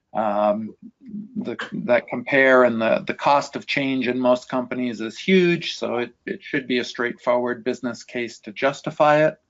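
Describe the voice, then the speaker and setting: In an ordinary speaking voice, this man keeps a moderate pace, a medium pitch and ordinary pitch variation. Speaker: industry analyst. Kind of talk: webinar Q&A answer.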